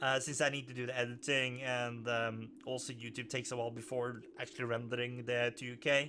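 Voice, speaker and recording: A man's medium-pitched voice, monotone and flat, at a fairly quick pace with hardly any pauses. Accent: Norwegian. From Norway. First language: Norwegian. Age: 30s. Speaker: gaming YouTuber. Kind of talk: let's play commentary. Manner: halting.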